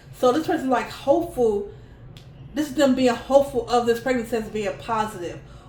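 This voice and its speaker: Animated in tone and lively in intonation, the voice moves at a fairly quick pace amid noticeable background noise and audible room echo. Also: woman, high pitch for a woman. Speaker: tarot reader. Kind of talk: tarot reading to camera. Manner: fast.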